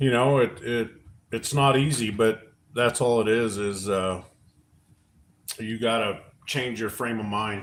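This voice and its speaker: A man with an American accent at a fairly slow pace, with long, frequent pauses. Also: medium pitch for a man, fairly even intonation. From Oregon. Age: 40s. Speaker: livestream co-host. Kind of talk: casual chat. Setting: live stream at home.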